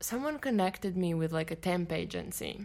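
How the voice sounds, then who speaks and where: A woman's medium-pitched voice in a Latvian accent, ordinary pitch variation, very clean recording with a silent background. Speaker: fashion showroom agency owner. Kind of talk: interview.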